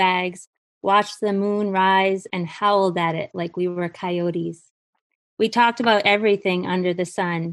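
A woman with an American accent talks at a medium pitch and a moderate pace. Her intonation is monotone and flat, over a quiet background. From Maine, US. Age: 40s. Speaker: guest storyteller. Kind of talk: reading aloud.

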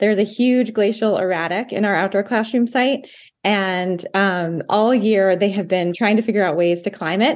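A woman with an American accent talks at a moderate pace and medium pitch in a normal speaking voice, with ordinary pitch variation. The background is quiet. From Maine, US (Blue Hill Peninsula). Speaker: environmental education coordinator. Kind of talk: radio interview. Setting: remote call into a virtual radio studio.

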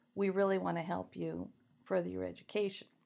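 A woman is speaking. The recording is very clean, with a silent background. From Maine. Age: 60s. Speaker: poet. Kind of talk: interview.

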